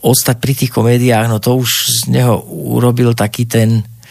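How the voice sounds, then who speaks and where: A man's medium-pitched voice with noticeable background noise. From Slovakia, Banská Bystrica. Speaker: actor. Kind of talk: interview.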